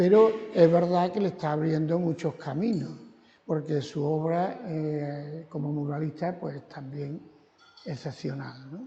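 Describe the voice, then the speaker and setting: Moving at a very slow pace, a man with a fairly high voice shows big swings in loudness and ordinary pitch variation. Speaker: gallery owner. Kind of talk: guided exhibition tour. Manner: soft-spoken. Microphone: too quiet.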